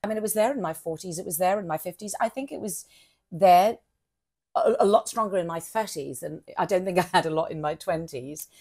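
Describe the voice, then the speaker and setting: A woman at medium pitch, fairly quick pace, ordinary pitch variation and big swings in loudness. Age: 60s. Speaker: actress and pro-age advocate. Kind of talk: interview conversation. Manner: halting, many restarts.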